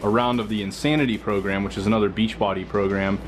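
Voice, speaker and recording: Over background music, a man talks at a very fast pace. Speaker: fitness vlogger. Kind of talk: casual video blog. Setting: at home.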